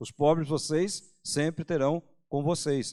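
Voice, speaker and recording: In a very clean recording with a silent background, a man speaks in a fairly high voice. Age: 60s. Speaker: pastor. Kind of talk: sermon. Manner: casual, conversational with hesitations.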